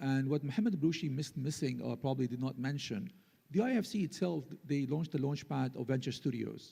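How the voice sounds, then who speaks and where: Talking at a very fast pace, a man with a medium pitch uses a dark, mellow, somewhat breathy tone and ordinary pitch variation. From UAE. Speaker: conference panelist. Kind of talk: panel discussion.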